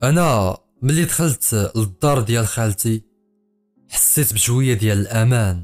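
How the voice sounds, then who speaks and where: A man speaks with a Fez accent while music plays in the background. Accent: Moroccan Arabic (Fez). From Fez, Morocco. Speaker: storyteller, writer, poet. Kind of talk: first-person horror story narration.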